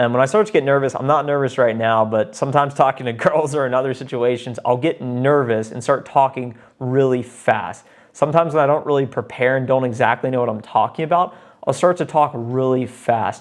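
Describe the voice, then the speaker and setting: This man's voice sits at medium pitch. He sounds energetic, with ordinary pitch variation. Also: fairly quick pace. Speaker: sales development rep and YouTuber. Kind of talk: vlog advice monologue. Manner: fast.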